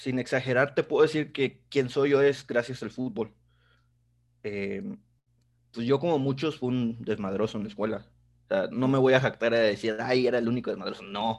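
A man talks at a moderate pace with ordinary pitch variation. He has an unremarkable speaking voice over a quiet background. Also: medium pitch for a man. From Mexico, Tampico. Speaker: football youtuber. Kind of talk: casual interview.

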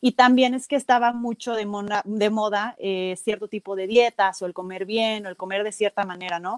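A woman speaks at medium pitch in a normal speaking voice, at a moderate pace with hardly any pauses. Her intonation is fairly even, and the sound is dry and close with no echo. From Mexico, Celaya (Guanajuato). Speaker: nutritionist and CrossFit athlete. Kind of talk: casual interview.

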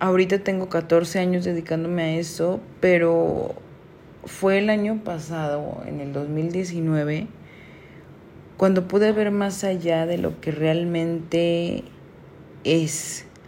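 Amid noticeable background noise and audible room echo, a woman with a fairly low pitch talks very slowly with fairly even intonation and long, frequent pauses. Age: 30s. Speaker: photographer. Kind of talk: solo podcast monologue. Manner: hesitant, many fillers.

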